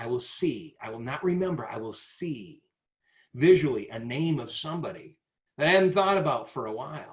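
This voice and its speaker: Somewhat breathy, a man talks with lively intonation at a fairly high pitch. He keeps a moderate pace. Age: 60s. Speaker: sales trainer. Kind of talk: webinar presentation. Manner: animated.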